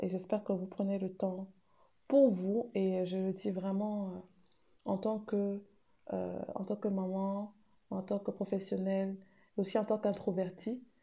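The voice is somewhat breathy and dark and mellow in tone, moving at a very slow pace with monotone, flat intonation and long, frequent pauses. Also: woman, medium pitch for a woman. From Cameroon. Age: 30s. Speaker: women's rights consultant and mother. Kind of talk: recorded testimony.

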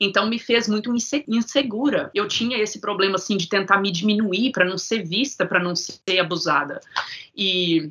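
Through noticeable background noise, a woman talks at a fairly slow pace with a medium pitch. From Minas Gerais, Brazil. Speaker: sound therapist guest. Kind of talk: casual interview, life story.

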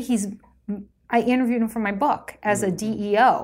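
In a very clean recording with a silent background, a woman with an unremarkable speaking voice talks at a moderate pace in a fairly high pitch with ordinary pitch variation. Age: 50s. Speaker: design executive. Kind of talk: casual chat.

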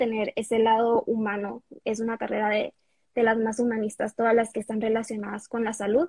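Somewhat breathy, a woman talks at a fairly quick pace with a fairly high pitch. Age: 20s. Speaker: medical student and content creator. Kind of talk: interview.

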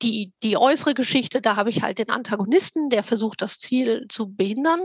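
A woman speaks at a moderate pace and a fairly high pitch, with a dry, close sound and no echo. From Germany, Frankfurt am Main. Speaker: fantasy author. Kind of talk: interview.

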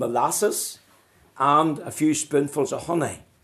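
Here a man speaks with a Northern Irish accent at a fairly high pitch. His pace is fairly slow, and his pitch varies in an ordinary way. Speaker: pastor. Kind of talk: sermon.

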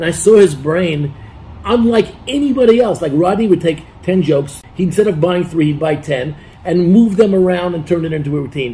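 Noticeable background noise sits behind a man with a high pitch. His tone is animated and his intonation lively. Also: fairly quick pace. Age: 60s. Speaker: former comedy writer. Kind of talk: interview. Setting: studio.

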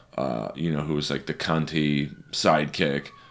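A man speaks in a very deep, low voice at a fairly slow pace, his intonation flat and monotone. Noticeable background noise runs underneath. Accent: American. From Los Angeles, California. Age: 40s. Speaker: stand-up comedian. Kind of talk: casual chat.

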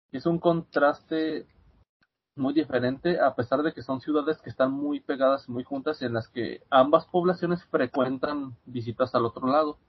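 Fairly high in pitch, a man with an unremarkable speaking voice talks at a fairly slow pace with fairly even intonation. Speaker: student and podcast guest. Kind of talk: casual chat. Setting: video call.

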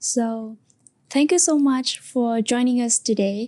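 Speaking very slowly in a Vietnamese accent, a woman has a fairly high voice with ordinary pitch variation. Her tone is dark and mellow. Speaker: podcast host. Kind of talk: interview.

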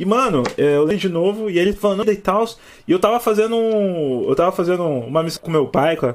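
A man talks at a fairly quick pace. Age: 20s. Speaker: podcast host. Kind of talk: casual chat. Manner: animated.

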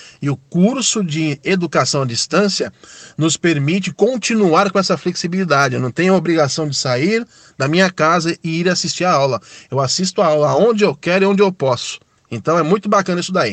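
Dry and close with no echo, a man speaks at a high pitch. His pace is fairly quick, with ordinary pitch variation. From São Paulo, Brazil. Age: 30s. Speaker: ride-hailing driver. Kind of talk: recorded testimony.

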